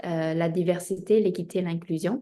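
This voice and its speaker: Speaking with a Spanish accent, a woman uses a medium pitch and a dark, mellow tone at a moderate pace. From Spain, of Chinese descent. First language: Spanish (speaking French). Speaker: diversity consultant, entrepreneur. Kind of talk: interview self-introduction. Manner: hesitant, many filler 'euh'.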